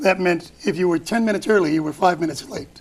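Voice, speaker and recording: Loud and fairly quick, a man with an American accent speaks at a high pitch with ordinary pitch variation over noticeable background noise. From Chicago, US Midwest. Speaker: author. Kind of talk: casual chat.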